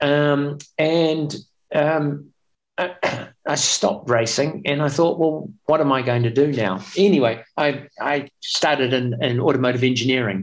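With a New Zealand accent, a man speaks fairly slowly at a fairly high pitch, with ordinary pitch variation and very even loudness. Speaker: espresso machine company founder, former racing cyclist. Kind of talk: interview.

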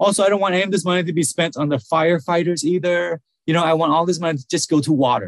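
A man with a Vietnamese accent speaks at a fairly quick pace in a fairly high voice, the sound dry and close with no echo. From Vietnam, then US from age eight. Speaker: nonprofit speaker and blogger. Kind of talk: podcast interview.

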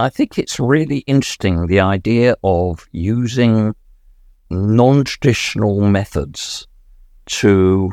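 Recorded dry and close with no echo and a silent background, a man speaks very slowly in a fairly low pitch with lively intonation. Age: 70s. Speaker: lived experience researcher with Alzheimer's. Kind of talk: casual chat. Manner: hesitant with fillers.

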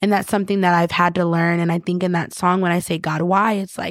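A woman with an American accent speaks in a plain, everyday voice at medium pitch. Her intonation is fairly even, in a very clean recording with a silent background. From upstate New York, Rochester. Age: 20s. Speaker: singer. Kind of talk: casual interview.

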